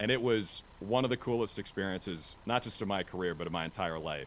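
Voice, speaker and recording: Here a man talks at a fairly quick pace. His pitch is fairly low, and his intonation lively. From Minnesota, US Midwest. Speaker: sports broadcaster. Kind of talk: interview. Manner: animated.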